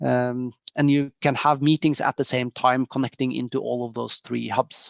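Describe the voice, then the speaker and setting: In a Norwegian accent, a man speaks at a moderate pace and medium pitch with monotone, flat intonation, the sound dry and close with no echo over a quiet background. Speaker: tech company executive. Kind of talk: interview. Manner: hesitant with many fillers.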